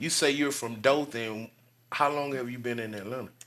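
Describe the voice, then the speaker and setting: This man talks at a medium pitch with an Alabama accent and ordinary pitch variation. The recording is very clean, with a silent background. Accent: Southern US (Alabama). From US South, Birmingham, Alabama. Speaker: podcast host. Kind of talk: casual interview.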